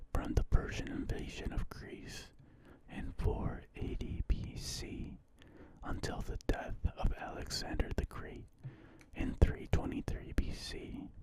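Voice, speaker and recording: Someone is whispering. The pace is very slow. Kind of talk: ASMR reading of an encyclopedia article. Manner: whispered, soft-spoken.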